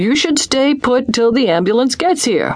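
A female-sounding voice puts on a character voice. It sits high in pitch and moves at a moderate pace. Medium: read story. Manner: gentle, fussing.

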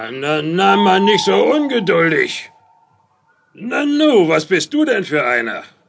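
Putting on a gruff character voice, a man speaks at a fairly slow pace in a high pitch. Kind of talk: children's radio play acting. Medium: audio drama. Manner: gruff, mocking, gloating.

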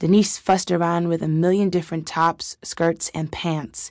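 Against a quiet background, a woman with an unremarkable speaking voice talks fairly quickly at a fairly low pitch with fairly even intonation. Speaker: audiobook narrator.

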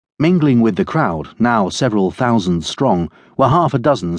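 A man's unremarkable speaking voice with lively intonation, at a moderate pace, over a quiet background. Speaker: audiobook narrator. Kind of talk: scripted narration of a crime novel.

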